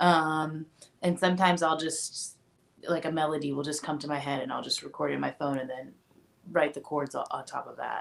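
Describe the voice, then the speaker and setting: Talking at a fairly quick pace, a woman uses a very deep, low voice and fairly even intonation. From US Midwest, Indianapolis. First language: Japanese. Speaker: singer-songwriter. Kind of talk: radio interview.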